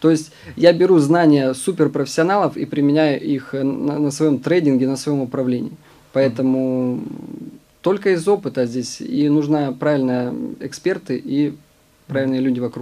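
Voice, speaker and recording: A man's fairly high voice with ordinary pitch variation amid noticeable background noise. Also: moderate pace. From Siberia, Omsk. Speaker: professional trader and fund manager. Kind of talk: interview. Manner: hesitant with fillers.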